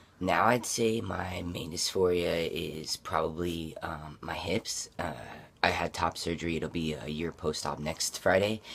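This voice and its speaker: A man's very deep, low voice at a very slow pace. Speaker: vlogger. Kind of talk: casual personal vlog. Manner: hesitant, many fillers.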